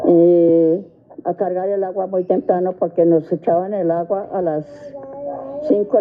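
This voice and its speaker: Over noticeable background noise, a woman speaks at a moderate pace. Her fairly low voice keeps a fairly even intonation. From Colombia, Facatativá (Cundinamarca). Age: 80s+. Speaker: interviewee sharing life memories. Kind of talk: radio interview, life testimony.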